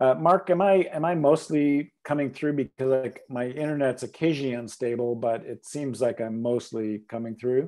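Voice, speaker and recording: In a Canadian accent, a man speaks at a moderate pace with hardly any pauses. His medium-pitched voice is dark and mellow, with ordinary pitch variation. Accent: Canadian, self-described. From Canada. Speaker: ornithologist, biology professor. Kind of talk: lecture. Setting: video call.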